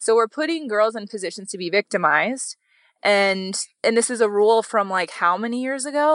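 A woman's very fast, fairly high-pitched speech with ordinary pitch variation, dry and close with no echo, over a quiet background. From Wyoming. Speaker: model and agency founder. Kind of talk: casual interview chat.

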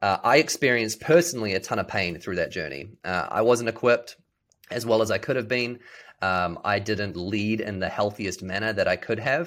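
Speaking with a New Zealand accent at a fairly quick pace, a man uses a fairly low pitch and lively intonation in a very clean recording with a silent background. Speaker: business leader. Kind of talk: casual interview chat.

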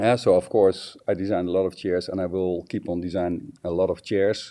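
A man with a Dutch accent speaks in a very deep, low voice with a dark, mellow tone. His pace is moderate, his intonation fairly even, and the background quiet. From Netherlands. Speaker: designer. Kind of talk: interview. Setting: phone or video call from home. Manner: halting, many filler sounds.

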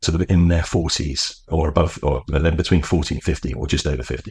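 The voice has vocal fry. The recording is very clean with a silent background. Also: man. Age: 50s. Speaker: teacher, former finance executive. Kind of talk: interview.

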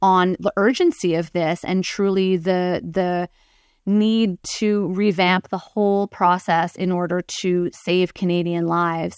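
In a dry, close sound with no echo and a very clean, silent background, a woman with an ordinary speaking voice talks at a medium pitch with fairly even intonation. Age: 40s. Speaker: breast cancer patient advocate. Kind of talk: interview.

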